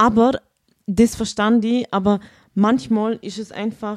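The speaker talks at a very slow pace with a Vorarlberg accent. Long pauses come often. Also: woman. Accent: Vorarlberg Alemannic German dialect. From Vorarlberg, Austria. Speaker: school social worker. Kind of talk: casual chat.

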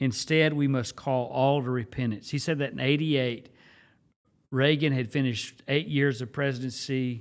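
In a plain, everyday voice with an American accent, a man of medium pitch talks at a moderate pace with fairly even intonation. The recording is very clean, with a silent background. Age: 50s. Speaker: pastor. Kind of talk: casual chat.

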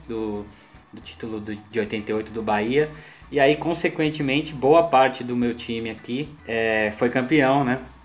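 A man talks in an unremarkable speaking voice at a medium pitch. He goes at a fairly slow pace with ordinary pitch variation. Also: big swings in loudness. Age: 40s. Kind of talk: casual chat.

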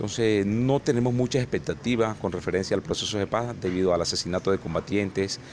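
A fairly low-pitched man talks at a fairly quick pace with ordinary pitch variation and very even loudness. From Colombian Caribbean (Sierra Nevada de Santa Marta / Valledupar). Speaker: social leader. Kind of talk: research interview. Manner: hesitant, many fillers.

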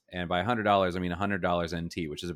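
A man speaks with an American accent. His pitch is very deep and low. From United States. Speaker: podcast co-host, English teacher. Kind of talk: casual chat.

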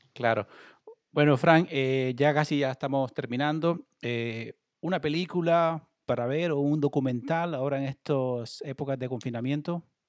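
Someone speaks at a fairly slow pace with fairly even intonation in an unremarkable speaking voice, the sound dry and close with no echo. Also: man, fairly high pitch for a man. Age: 30s. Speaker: online sports show host. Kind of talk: livestream interview. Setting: at home, video call.

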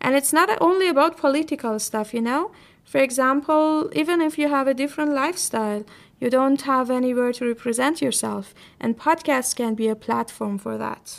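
A high-pitched woman with a Persian accent, moderate pace and ordinary pitch variation, on a very clean recording with a silent background. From Iran. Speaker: podcast host. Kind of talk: solo podcast talk.

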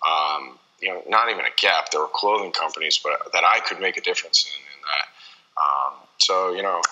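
A man talks at a moderate pace with hardly any pauses. Noticeable background noise sits behind him. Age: 30s. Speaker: apparel entrepreneur and athlete agent. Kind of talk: interview. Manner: halting, many fillers.

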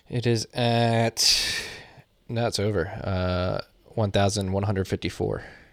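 In a very clean recording with a silent background, a man with a plain, everyday voice and an American accent talks at a fairly low pitch with fairly even intonation. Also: fairly slow pace. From Philadelphia. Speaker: podcast host. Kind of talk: casual chat.

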